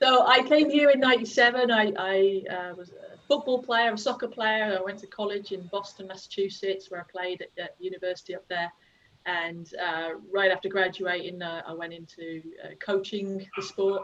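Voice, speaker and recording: Speaking with an English accent at a moderate pace, a woman has a medium pitch, ordinary pitch variation, and big swings in loudness. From England, Worcestershire (West Midlands). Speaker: youth soccer coach. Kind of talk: casual chat.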